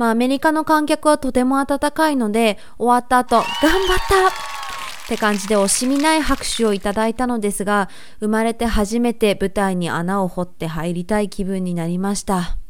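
At a moderate pace, a woman with a fairly high pitch and lively intonation speaks over noticeable background noise. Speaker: dancer and vlogger. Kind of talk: casual informative talk to camera.

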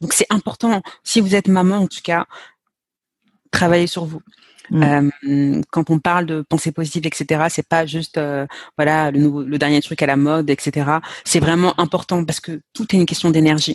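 Long, frequent pauses break up a woman's speech, her pitch very deep and low. Her intonation stays fairly even against a quiet background. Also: moderate pace, dry, close sound with no echo. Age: 30s. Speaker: sales and mindset coach. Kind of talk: casual interview.

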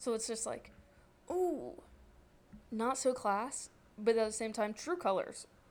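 At a fairly slow pace with long, frequent pauses, a woman with an American accent talks in a fairly high pitch. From northern Virginia, near DC. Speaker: podcast host. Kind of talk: casual chat.

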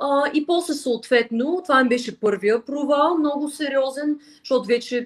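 Someone speaks at a moderate pace with lively intonation and hardly any pauses. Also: woman. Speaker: flutist and language teacher. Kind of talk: interview.

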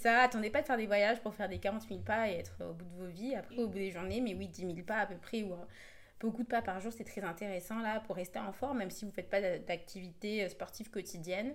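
Very fast speech comes from a woman with vocal fry. Her pitch varies in an ordinary way. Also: medium pitch for a woman. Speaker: podcast co-host. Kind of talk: casual chat.

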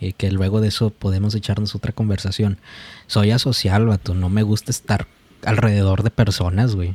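A man with a fairly low pitch speaks at a fairly quick pace with fairly even intonation, his dark, mellow tone somewhat breathy in a dry, close recording with no echo. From Mexico. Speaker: podcast host. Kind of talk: casual chat.

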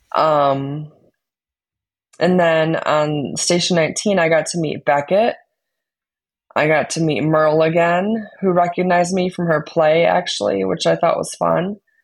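In a fairly low pitch, a woman talks at a fairly slow pace with an American accent and ordinary pitch variation, a normal speaking voice, over a quiet background. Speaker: podcast host. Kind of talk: casual chat.

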